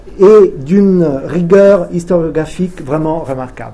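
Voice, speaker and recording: A man talks at a fairly slow pace. His pitch sits fairly high. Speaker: event moderator. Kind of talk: reading aloud. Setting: stage with audience. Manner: halting.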